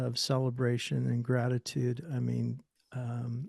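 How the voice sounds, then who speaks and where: Somewhat breathy, a man with an American accent speaks at a fairly slow pace. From Northern California. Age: 60s. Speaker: musician and author. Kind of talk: interview. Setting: podcast.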